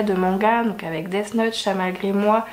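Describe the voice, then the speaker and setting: Noticeable background noise sits behind a woman whose pitch moves in an ordinary way. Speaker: book YouTuber. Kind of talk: casual vlog review.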